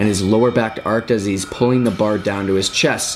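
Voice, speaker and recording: Noticeable background noise accompanies a man speaking at a fairly quick pace in a fairly low pitch. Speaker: fitness youtuber. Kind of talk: tutorial. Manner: casual, filler words.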